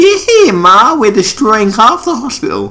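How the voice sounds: In a put-on character voice with a Southern accent, the speaker uses a fairly high pitch at a moderate pace.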